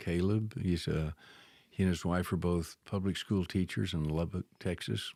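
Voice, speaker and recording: The voice has a dark, mellow tone and very even loudness at a moderate pace, with a dry, close sound and no echo. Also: man, very deep, low pitch for a man, ordinary pitch variation, very clean recording, silent background. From Thailand. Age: 70s. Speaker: Bible and missions professor. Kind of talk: casual chat. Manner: soft-spoken.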